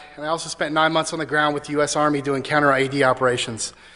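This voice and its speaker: Bright and sharp in tone, a man's fairly high voice races along at a very fast pace. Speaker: conference speaker, privacy consultant. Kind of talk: conference talk. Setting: stage with audience.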